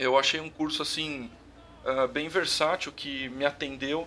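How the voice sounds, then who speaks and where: A man talks at a moderate pace in a fairly high pitch. He has a plain, everyday voice. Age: 30s. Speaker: electrical engineer. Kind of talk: interview, casual conversation.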